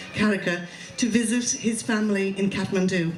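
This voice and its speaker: A woman in a western Irish accent at a moderate pace, fairly even intonation, audible room echo and noticeable background noise. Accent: Irish (west of Ireland). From Ireland, Galway. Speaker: fundraiser, hospital worker. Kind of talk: public speech. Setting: stage with audience. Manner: hesitant, many fillers.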